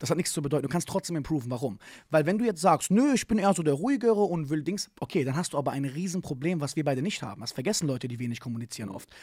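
A man talks very fast at a fairly high pitch with lively intonation, the sound dry with no echo and the background quiet. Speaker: martial arts coach and speaker; martial arts coach, speaker. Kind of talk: casual interview chat. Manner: animated, slangy. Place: studio. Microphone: studio mic.

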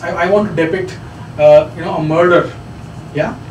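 The speaker has a Kannada accent. Audible room echo and light background noise are present. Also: man. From India, Bangalore; India. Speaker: radio professional, guest lecturer. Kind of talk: lecture. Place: meeting room. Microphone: camera far.

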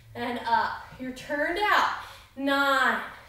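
With audible room echo around her, a woman speaks at a high pitch. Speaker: fitness instructor. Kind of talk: workout instruction with counting. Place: home room. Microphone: camera far.

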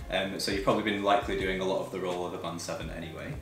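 Clear music plays behind a man with audible room echo. He speaks at a very fast pace. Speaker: guest. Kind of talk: interview answer. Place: home room.

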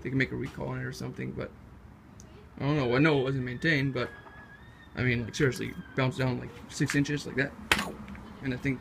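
A man talks at a fairly quick pace. There is noticeable background noise. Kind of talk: casual project walkthrough. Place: garage. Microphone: phone near.

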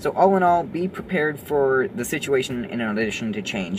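Over background music, a man talks at a fairly quick pace with very wide pitch swings. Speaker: actor vlogger. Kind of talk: casual vlog chat. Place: car. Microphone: phone near.

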